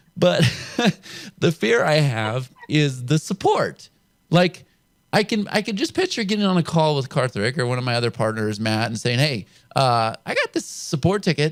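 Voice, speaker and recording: This man has an American accent and a fairly high pitch with very wide swings. He speaks at a moderate pace, and the sound is dry and close with no echo. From California. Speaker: show host, internet marketer. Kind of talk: interview.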